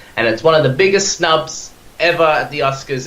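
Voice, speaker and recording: A man with an Australian accent at a fairly quick pace, with ordinary pitch variation, audible room echo and noticeable background noise. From Australia, Perth. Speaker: podcast guest, film fan. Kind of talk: casual chat. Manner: animated, halting with repeated words.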